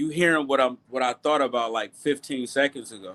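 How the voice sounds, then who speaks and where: Bright and sharp in tone, a man speaks at a medium pitch and moderate pace with fairly even intonation. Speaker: boxing livestream host. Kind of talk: casual livestream chat. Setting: live stream.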